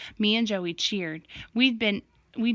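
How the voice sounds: Ordinary pitch variation across a natural reading voice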